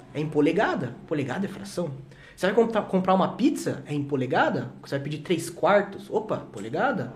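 A man speaks fairly quickly in a high voice with lively intonation. Audible room echo and noticeable background noise are present. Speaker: teacher. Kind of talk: casual chat. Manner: fast.

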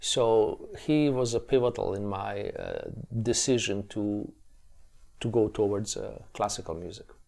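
A man with a Bosnian accent on a very clean recording with a silent background. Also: fairly slow pace. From Bosnia, Tuzla. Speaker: classical guitarist and educator. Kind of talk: interview. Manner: hesitant, many repetitions.

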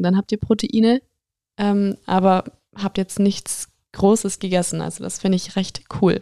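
A woman speaks at a medium pitch with a dark, mellow tone and fairly even intonation. The pace is moderate, and the sound is dry and close with no echo. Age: 20s. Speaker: podcaster and fitness influencer. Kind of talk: casual Q&A monologue.

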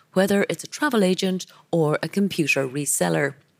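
The sound is dry and close, with no echo. The slightly mellow voice moves at a moderate pace with lively intonation. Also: woman.

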